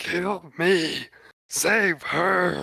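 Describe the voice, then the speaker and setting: A man puts on a character voice. It is high-pitched and raspy. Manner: yelling, screaming.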